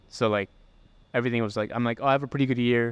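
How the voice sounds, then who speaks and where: Nothing can be heard in the background. The audio sounds close and dry, free of any echo. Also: man. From Pakistan and Detroit. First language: Urdu. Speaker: photographer and video creator. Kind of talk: casual podcast chat. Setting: co-working space.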